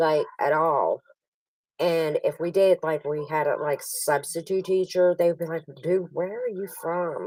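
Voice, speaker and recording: A woman with a Pittsburgh accent speaks fairly slowly in a fairly low pitch, her intonation fairly even. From western Pennsylvania, near West Virginia border. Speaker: online poker player. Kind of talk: casual chat.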